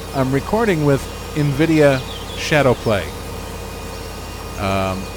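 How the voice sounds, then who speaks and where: A man's fairly high voice with very wide pitch swings at a very slow pace, amid noticeable background noise. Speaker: gaming video creator. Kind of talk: let's play commentary. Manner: loud. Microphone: mic quiet against game sounds.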